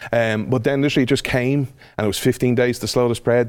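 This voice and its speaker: A man talks with an Irish accent. His pitch variation is ordinary. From Ireland. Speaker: podcast host and speaker. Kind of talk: casual interview chat.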